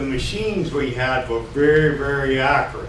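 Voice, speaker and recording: A man speaks at a fairly slow pace. There is audible room echo and noticeable background noise. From Texas. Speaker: retired county tax assessor speaking at public comment. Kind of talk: public comment. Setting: county commissioners' meeting room. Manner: loud.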